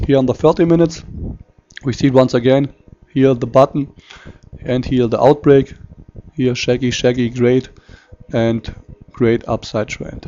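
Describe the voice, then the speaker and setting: With a non-native accent, a man talks at a moderate pace and medium pitch, keeping his intonation fairly even and leaving long, frequent pauses. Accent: non-native English speaker. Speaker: forex market analyst. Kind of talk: tutorial. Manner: halting.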